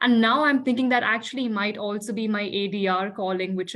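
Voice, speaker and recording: At a fairly quick pace, a woman with an Indian accent talks at a medium pitch with fairly even intonation. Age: young. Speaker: dispute resolution professional. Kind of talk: casual interview chat.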